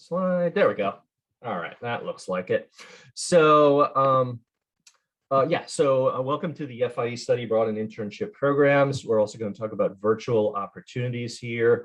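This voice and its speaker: A plain, everyday voice from a man with an American accent, medium in pitch, at a moderate pace with lively intonation and big swings in loudness. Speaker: study abroad program representative. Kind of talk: virtual info session presentation. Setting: video call. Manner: casual, many fillers.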